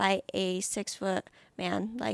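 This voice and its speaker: Here a woman is heard on a very clean recording with a silent background. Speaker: podcast co-host. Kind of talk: motivational talk; casual chat.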